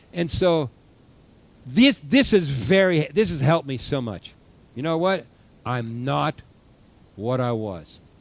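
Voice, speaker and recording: Speaking at a very slow pace with long, frequent pauses, a man uses a fairly high pitch with very wide swings. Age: 60s. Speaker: pastor. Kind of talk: sermon. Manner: halting.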